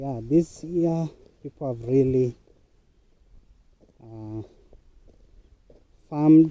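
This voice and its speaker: In a Kenyan accent, a man with a fairly high pitch and a dark, mellow tone talks at a very slow pace, using ordinary pitch variation and long, frequent pauses. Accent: Kenyan (Luo) English. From Kenya, Luo-speaking region (Kisumu County). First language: Luo. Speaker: vlogger, online worker. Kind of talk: casual vlog narration while walking. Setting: outdoors, walking to a muddy farm.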